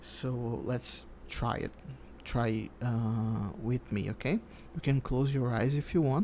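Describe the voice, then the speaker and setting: Very slow in pace, a man talks with a dark, mellow tone at a medium pitch and with ordinary pitch variation. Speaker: psychologist. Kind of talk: ASMR sleep counseling roleplay. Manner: soft-spoken, calm.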